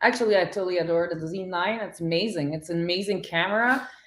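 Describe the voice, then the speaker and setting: Here a woman speaks in a Quebec accent at a fairly low pitch. Her pace is moderate. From Quebec, Montreal. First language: French. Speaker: photographer. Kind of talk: interview. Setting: live stream.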